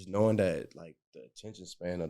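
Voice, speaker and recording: A man with an American accent speaks in a dark, mellow tone with fairly even intonation. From Detroit. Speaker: painter. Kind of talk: artist talk panel.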